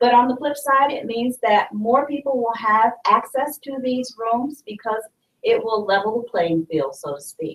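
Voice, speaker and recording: A woman talks loudly in a high voice with lively intonation. Her pace is fairly slow. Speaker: university librarian. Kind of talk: presentation. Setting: live stream.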